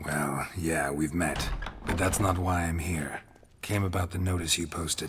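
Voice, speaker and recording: A man uses a put-on character voice at a very deep, low pitch. He speaks at a moderate pace. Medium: video game. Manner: terse, dry, low-key.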